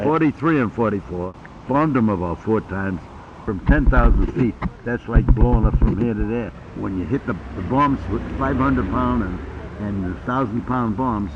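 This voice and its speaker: Noticeable background noise sits under speech with lively intonation. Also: man, fairly low pitch for a man, moderate pace. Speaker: war veteran. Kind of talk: casual conversation recalling war memories. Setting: informal hidden-camera chat at home.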